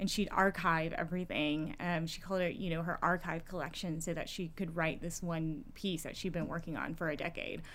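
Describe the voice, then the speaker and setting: A woman with an American accent speaks at a moderate pace, barely pausing. Her fairly low voice is monotone and flat, with audible room echo. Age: 30s. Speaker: political candidate. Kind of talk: casual interview.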